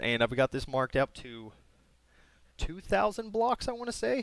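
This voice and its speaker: This man has an unremarkable speaking voice, with ordinary pitch variation and a moderate pace, recorded very cleanly against a silent background with a dry, close sound and no echo. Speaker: gaming YouTuber. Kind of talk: gameplay tutorial walkthrough. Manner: casual with many fillers.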